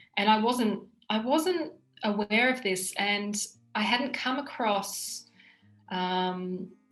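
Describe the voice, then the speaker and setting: A woman with an Australian accent and a fairly high pitch talks at a very slow pace with long, frequent pauses while music plays in the background. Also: ordinary pitch variation. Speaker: language student. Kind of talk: testimony. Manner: halting, with repeated words.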